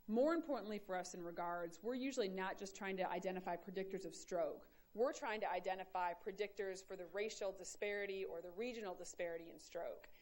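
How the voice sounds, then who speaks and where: In an American accent, a woman of medium pitch talks at a very fast pace with hardly any pauses, and audible room echo surrounds her voice. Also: ordinary pitch variation. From Michigan, US Midwest. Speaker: epidemiology professor. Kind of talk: lecture.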